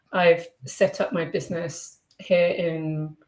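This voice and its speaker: A woman with a British accent speaks at a very slow pace. Her fairly low voice has a monotone, flat intonation. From Britain. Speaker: online English teacher. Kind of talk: interview.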